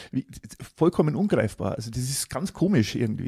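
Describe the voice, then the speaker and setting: A man's somewhat breathy, medium-pitched voice at a moderate pace, with very wide pitch swings and a dry, close sound with no echo. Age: 50s. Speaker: coaching client sharing his life story. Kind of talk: personal testimony in a casual interview. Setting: in person, face to face. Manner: halting, with many fillers.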